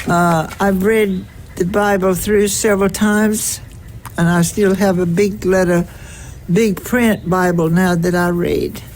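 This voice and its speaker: Over audible room echo, a woman with a Southern US accent speaks fairly slowly at medium pitch, with monotone, flat intonation and very even loudness. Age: 80s+. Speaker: retired teacher and church organist. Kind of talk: casual chat. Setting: outdoors.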